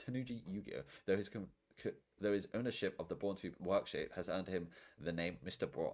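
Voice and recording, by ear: The voice sounds natural. It is reading aloud.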